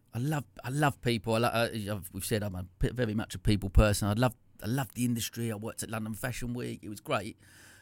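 A man with an Essex accent at a very fast pace, fairly even intonation and big swings in loudness, in a dry, close sound with no echo. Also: medium pitch for a man, hardly any pauses. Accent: Essex twang. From Essex, England. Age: 40s. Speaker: entrepreneur, former salon owner. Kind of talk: casual interview. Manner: halting, many false starts.

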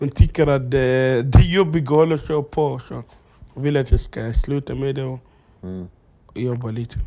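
A medium-pitched man speaks at a moderate pace with ordinary pitch variation and big swings in loudness. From South Sudan, raised in Egypt. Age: 20s. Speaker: comedian. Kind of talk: casual chat. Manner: halting.

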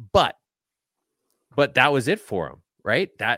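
On a very clean recording with a silent background and a dry, close sound with no echo, a man speaks at a moderate pace in a bright, sharp tone with vocal fry and very wide pitch swings. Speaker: podcaster and tweeter. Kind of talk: casual interview chat. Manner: joking, sarcastic.

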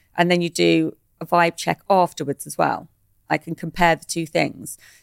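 She has an ordinary speaking voice, fairly low for a woman, at a moderate pace. The recording is very clean with a silent background and a dry, close sound with no echo. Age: 50s. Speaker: parenting and neurodiversity advocate, mother. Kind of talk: interview conversation.

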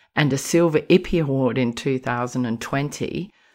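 A woman with an Australian accent, a very deep, low pitch and lively intonation, at a moderate pace against a quiet background. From rural South Australia. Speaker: podcast host. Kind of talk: casual chat.

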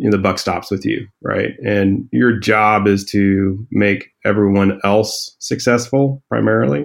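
A man speaks in an unremarkable speaking voice at a fairly low pitch. His pace is fairly slow and his intonation fairly even. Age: 40s. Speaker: startup founder and CEO. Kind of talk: interview.

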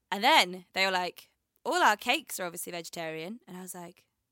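At a fairly quick pace, a woman with a medium pitch and a bright, sharp tone is recorded very cleanly against a silent background, the sound dry and close with no echo. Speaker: podcast co-host, performer. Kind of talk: casual chat. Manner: animated.

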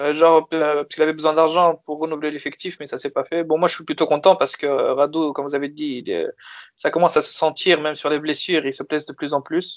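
The speech moves at a very fast pace. The intonation stays monotone and flat. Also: man, fairly high pitch for a man. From France. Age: 20s. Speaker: football fan. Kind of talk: casual chat.

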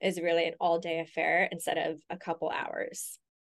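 Someone with an American accent speaks against a quiet background. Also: woman. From US West Coast, Los Angeles. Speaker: interior designer and business owner. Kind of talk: interview.

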